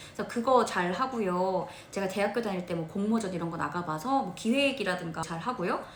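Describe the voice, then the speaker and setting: A woman's animated, medium-pitched voice at a fairly quick pace with ordinary pitch variation, with audible room echo and noticeable background noise. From provincial South Korea. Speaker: motivational speaker and announcer. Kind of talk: interview.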